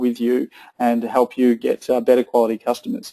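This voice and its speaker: At a fairly quick pace, a man with an Australian accent speaks in a dark, mellow tone. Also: dry, close sound with no echo. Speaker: tech company co-founder presenting a webinar. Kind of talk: webinar presentation with audience Q&A. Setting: online webinar with chat panel. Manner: hesitant, many fillers and restarts.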